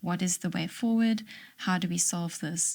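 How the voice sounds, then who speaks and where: A woman's somewhat breathy voice at medium pitch, fairly slow pace, on a very clean recording with a silent background. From South Africa. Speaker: librarian. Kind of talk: interview answer.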